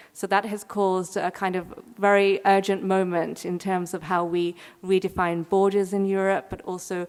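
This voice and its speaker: In an English accent, a woman speaks at a moderate pace and medium pitch. Her intonation is monotone and flat. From England, London. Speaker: curator. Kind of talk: keynote lecture.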